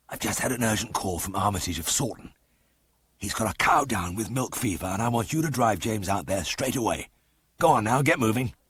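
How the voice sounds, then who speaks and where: A man's hoarse, whispering put-on character voice at a fairly quick pace. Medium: read story. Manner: explosive, domineering.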